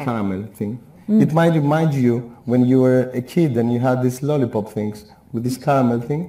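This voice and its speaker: A man with a Greek accent speaks at a moderate pace with ordinary pitch variation. Audible room echo surrounds his voice. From Greece. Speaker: beekeeper. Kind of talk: live TV shopping presentation. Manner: enthusiastic, conversational. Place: studio. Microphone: lapel.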